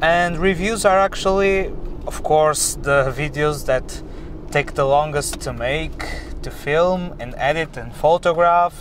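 Speaking very slowly with a Portuguese accent, a man uses a fairly high pitch and fairly even intonation, with light background noise and a dry sound with no echo. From Portugal. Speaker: car vlogger. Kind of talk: driving vlog. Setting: in a car. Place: car. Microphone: camera far.

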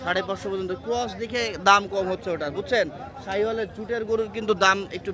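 A man's high-pitched, raised and projected voice over crowd noise in the background. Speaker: livestock market vlogger. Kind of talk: live walk-around vlog with interviews. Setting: outdoors at cattle market. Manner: animated.

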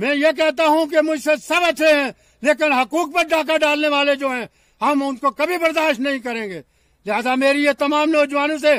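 Pitched extremely high, a man speaks with fairly even intonation in a dry sound with no echo. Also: fairly slow pace, quiet background. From Jammu and Kashmir. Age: 70s. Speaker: election candidate. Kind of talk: political appeal.

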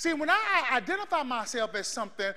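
A man shouting in a raised, projected voice, animated in tone. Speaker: preacher. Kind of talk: sermon with live congregation call-and-response. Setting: church. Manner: loud, animated, exhorting the crowd to shout back; fervent, rhythmic, building in intensity. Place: church.

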